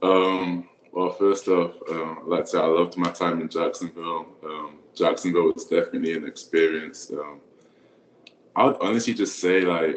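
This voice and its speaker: Noticeable background noise behind a moderate pace of talk. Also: man. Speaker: college football player. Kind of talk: casual interview conversation. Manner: hesitant, many fillers.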